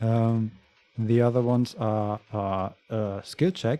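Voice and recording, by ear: A natural voice reading aloud, the intonation kept fairly even.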